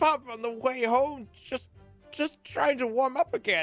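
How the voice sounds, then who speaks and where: The speaker uses a put-on character voice at a fairly slow pace. Faint music plays in the background. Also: woman. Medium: video game. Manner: rambling.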